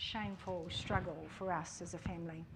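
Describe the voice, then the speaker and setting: Someone talks at a fairly slow pace in a New Zealand accent, with audible room echo. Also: woman. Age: 60s. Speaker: church member giving testimony. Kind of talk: testimony. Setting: church service.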